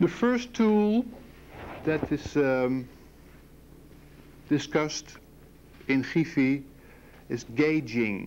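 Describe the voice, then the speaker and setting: At a very slow pace and with long, frequent pauses, a man speaks in a fairly high voice that sweeps through very wide pitch swings. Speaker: professor. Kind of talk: lecture. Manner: halting.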